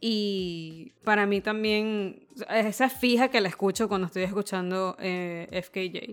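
This is a woman speaking. She has a Venezuelan accent. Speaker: podcast co-host. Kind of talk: casual chat.

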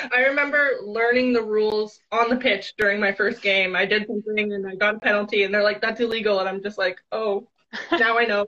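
In a Canadian accent, a woman speaks fairly quickly in an ordinary speaking voice, fairly high in pitch with fairly even intonation. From small town near Ottawa, Canada. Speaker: athlete and coach. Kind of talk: interview. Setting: live video stream.

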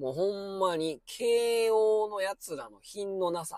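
A man speaks with a Kansai accent at a high pitch. The recording is very clean, with a silent background. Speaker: former high school science teacher, podcaster. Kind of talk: casual monologue commentary. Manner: filler-heavy, conversational.

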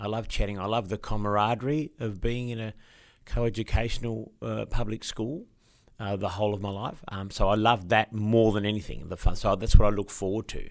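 Recorded very cleanly against a silent background, a man with an Australian accent talks at a fairly quick pace. His pitch is fairly low, his intonation fairly even, and his loudness swings a lot. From Tasmania, Eastern Shore (Hobart). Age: 50s. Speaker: actor and musical performer. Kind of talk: interview. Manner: halting, many fillers.

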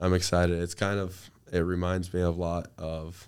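Monotone and flat, a man's very deep, low voice comes through a very clean recording with a silent background. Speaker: college athlete. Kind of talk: interview.

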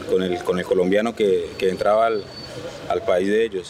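There is noticeable background noise behind the speaker, a man. He talks at a moderate pace. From Colombia. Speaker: driver. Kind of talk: interview. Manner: halting.

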